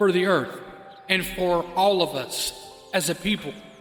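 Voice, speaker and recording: Music plays in the background behind a man with a high pitch. His intonation stays fairly even. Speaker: podcast host, spiritual mentor and life coach. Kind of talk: podcast monologue, impassioned spiritual and peace message.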